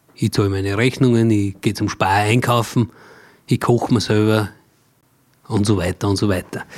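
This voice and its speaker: Fairly low-pitched male voice at a moderate pace, fairly even in intonation, with long, frequent pauses. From Austria, Mühlviertel (Upper Austria). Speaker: cabaret artist and songwriter. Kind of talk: casual interview.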